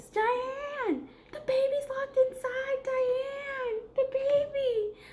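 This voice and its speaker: Using a squeaky, put-on character voice, a woman speaks at an extremely high pitch with monotone, flat intonation and a very slow pace. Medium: solo performance. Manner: flustered, affectionate.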